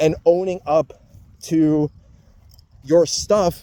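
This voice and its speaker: A man speaks with a fairly high pitch and a dark, mellow tone. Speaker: vlogger. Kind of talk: personal monologue. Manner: slow; halting.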